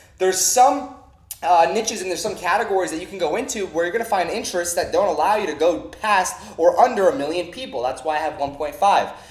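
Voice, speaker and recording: Energetic and high-pitched, a man speaks very fast with lively intonation amid noticeable background noise and audible room echo. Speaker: online marketing trainer. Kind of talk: tutorial.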